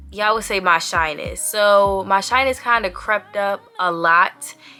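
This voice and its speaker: A woman talks at a medium pitch while music sounds in the background. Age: 20s. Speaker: vlogger. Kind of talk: casual vlog monologue. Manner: fast.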